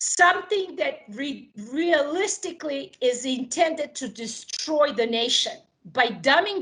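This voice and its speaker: A woman with a Serbo-Croatian accent talks at a fairly slow pace, her high voice making very wide pitch swings. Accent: Balkan (Serbo-Croatian) accent in English. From Yugoslavia. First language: not English; English is her third language. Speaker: political candidate. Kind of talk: political interview.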